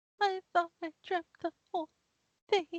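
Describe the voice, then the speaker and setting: A woman does a put-on character voice at an extremely high pitch, shaky and at a moderate pace, in a dry, close sound with no echo. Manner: shaky, wet, choked with sobs.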